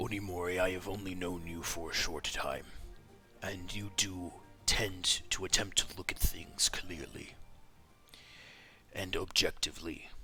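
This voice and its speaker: This is a put-on character voice with monotone, flat intonation. It moves at a moderate pace, broken by long, frequent pauses. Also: man, very deep, low pitch for a man. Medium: actual play. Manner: formal, avoids contractions, earnest.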